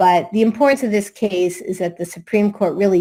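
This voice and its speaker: This woman speaks with a Massachusetts accent and fairly even intonation. Her tone is dark and mellow, on a very clean recording with a silent background. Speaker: attorney. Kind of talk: conference presentation.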